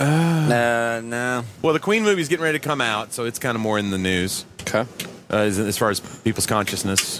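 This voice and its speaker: Lively in intonation, a man speaks at a medium pitch over noticeable background noise. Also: fairly quick pace. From Tennessee (Knoxville). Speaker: radio show host. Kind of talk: casual chat. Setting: studio.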